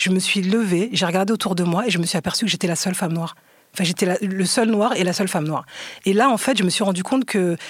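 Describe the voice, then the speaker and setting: A woman's medium-pitched voice at a very fast pace, with ordinary pitch variation and very even loudness. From France, Seine-Saint-Denis (Aulnay-sous-Bois). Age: 40s. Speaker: documentary filmmaker. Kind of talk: casual interview discussion. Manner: halting, repeats words.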